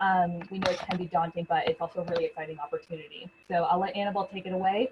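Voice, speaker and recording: A woman at a medium pitch with a Canadian accent. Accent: non-British, Canadian. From Canada. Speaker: university recruitment manager. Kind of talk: online information session. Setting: video webinar from home.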